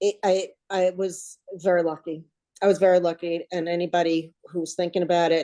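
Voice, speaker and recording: This woman has a New Jersey accent and a dark, mellow tone set at a fairly low pitch. Her intonation stays monotone and flat at a moderate pace. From US Northeast, New Jersey. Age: 60s. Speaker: weight loss coaching client. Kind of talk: casual interview chat.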